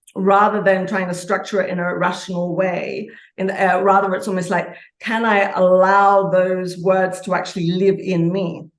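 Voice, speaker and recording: A woman at medium pitch, with audible room echo. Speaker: author and archetypal consultant. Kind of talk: interview conversation. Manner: fast; energetic, passionate.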